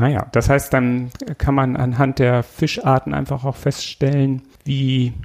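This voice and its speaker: A man's medium-pitched voice at a very slow pace. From Schleswig-Holstein, northern Germany. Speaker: podcast host, municipal utility employee. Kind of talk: casual interview.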